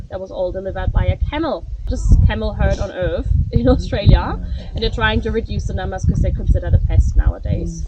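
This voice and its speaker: Over noticeable background noise, a woman with a German accent talks at a fairly quick pace. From Germany. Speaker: tour guide. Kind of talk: guided tour talk. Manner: fast.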